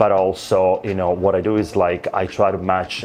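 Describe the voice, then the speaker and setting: Over noticeable background noise, a man with an Italian accent speaks in a very deep, low pitch. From Italy. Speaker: luxury real estate agent. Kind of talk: interview answer.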